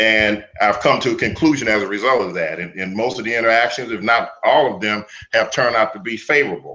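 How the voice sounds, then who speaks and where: A man talks at a very fast pace with a bright, sharp tone. His voice sits at medium pitch with ordinary pitch variation. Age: 60s. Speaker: martial arts teacher. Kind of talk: interview.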